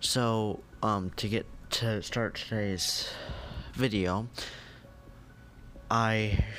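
Long, frequent pauses break up the speech over light background noise. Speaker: gaming YouTuber. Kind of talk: casual channel update voice-over.

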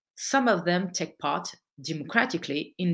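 A woman with a French accent speaks at a fairly low pitch, her voice swinging very widely in pitch. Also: quiet background. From France, of Algerian descent. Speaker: political activist and author. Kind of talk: lecture. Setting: online event. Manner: halting. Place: home room. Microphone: webcam.

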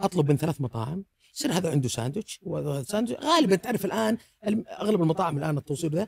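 A man speaks very fast at a high pitch, with very wide pitch swings. The sound is dry with no echo, and the background is quiet. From Saudi Arabia. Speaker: food blogger; podcast guest, food blogger. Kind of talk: casual chat. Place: studio. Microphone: studio mic.

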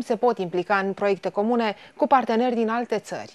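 A woman talks at a fairly quick pace, her voice fairly high with ordinary pitch variation. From Romania. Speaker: news anchor. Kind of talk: news reading. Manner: formal. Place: studio.

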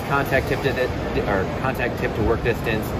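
Over loud background noise, a man is speaking. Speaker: welding educator. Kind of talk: interview answer. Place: hall. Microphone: phone near.

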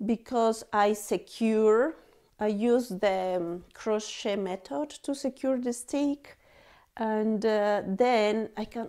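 A woman speaks at a very slow pace in a dark, mellow tone. Her pitch varies in an ordinary way against a quiet background. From Bolivia. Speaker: knitting podcaster and yarn dyer; knitting podcaster. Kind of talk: casual vlog chat. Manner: halting, many fillers. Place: home room.

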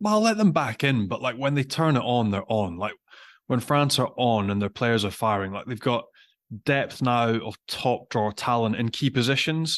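At a moderate pace, a man speaks with ordinary pitch variation. The background is quiet. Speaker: podcast co-host. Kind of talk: podcast commentary. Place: home room. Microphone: studio mic.

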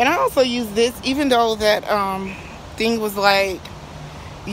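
With light background noise and a dry sound with no echo, a woman speaks at a moderate pace with ordinary pitch variation. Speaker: home cook vlogger. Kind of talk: casual vlog chat. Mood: excited, upbeat. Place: garden. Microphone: phone near.

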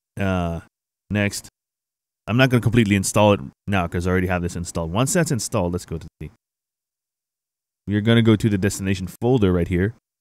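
A man's low-pitched voice at a fast pace, with ordinary pitch variation and long, frequent pauses. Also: slightly mellow tone.

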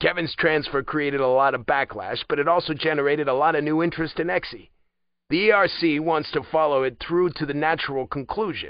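Speaking at a fairly quick pace, a man puts on a gruff character voice pitched fairly high, with ordinary pitch variation. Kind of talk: audiobook dialogue. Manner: blunt, gruff, commanding.

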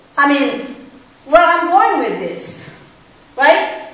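A woman speaks at an extremely high pitch and a very slow pace. Strong room echo surrounds her voice. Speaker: pastor. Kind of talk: sermon. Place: church.

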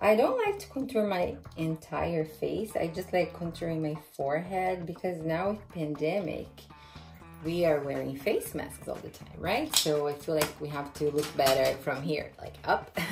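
Faint music plays behind a woman with a very deep, low pitch who speaks at a fairly slow pace, her loudness swinging widely and her pitch varying in an ordinary way. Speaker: beauty vlogger. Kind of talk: casual makeup tutorial. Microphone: phone near.

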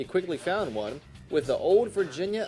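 Music plays behind a man's voice. He talks fairly quickly at a high pitch. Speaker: TV news reporter. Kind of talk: TV news report narration.

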